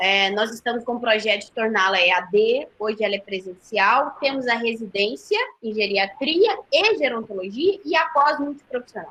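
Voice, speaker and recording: A woman talks at a moderate pace in a fairly high voice. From Goiás, Brazil. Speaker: nursing professor. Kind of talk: webinar closing remarks. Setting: online live webinar.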